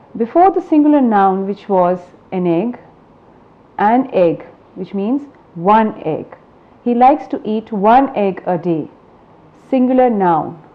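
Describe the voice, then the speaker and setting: A woman with a fairly high voice talks at a fairly slow pace, her pitch swinging very widely. She leaves long, frequent pauses. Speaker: English language trainer. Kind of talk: lecture. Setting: educational broadcast. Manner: deliberate, repeats words for clarity.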